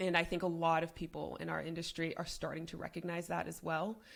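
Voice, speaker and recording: A woman with vocal fry, at a fairly quick pace. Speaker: business consultant. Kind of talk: interview. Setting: podcast. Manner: speaks in a lower register.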